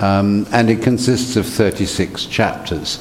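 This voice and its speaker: There is noticeable background noise behind a man whose pitch varies in an ordinary way. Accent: British. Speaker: translator and professor. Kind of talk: panel discussion. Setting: stage with audience.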